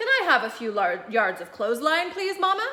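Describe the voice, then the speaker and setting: A woman in a put-on character voice speaks at a fairly quick pace, her high pitch swinging very widely. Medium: read story.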